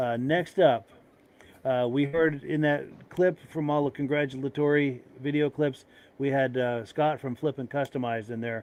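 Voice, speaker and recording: At a moderate pace, a man speaks in a normal speaking voice, his fairly high pitch carried in fairly even intonation. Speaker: podcast host. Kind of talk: casual chat.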